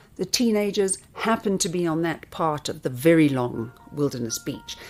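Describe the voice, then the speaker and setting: A woman's fairly low voice at a moderate pace, with lively intonation and music in the background. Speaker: storyteller and interviewer. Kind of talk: documentary story narration.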